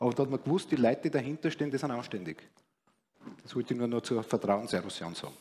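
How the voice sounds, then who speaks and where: The voice has a dark, mellow tone and lively intonation, delivered at a very fast pace with long, frequent pauses. Light background noise sits underneath. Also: man, medium pitch for a man. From Austria. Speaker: economist, former bond trader; guest. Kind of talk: panel discussion. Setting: stage. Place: stage. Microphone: headset.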